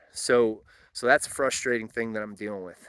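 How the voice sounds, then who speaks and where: Fairly quick in pace, a man speaks at a fairly low pitch with a bright, sharp tone. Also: very clean recording, silent background. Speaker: homesteader. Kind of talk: casual talk to camera.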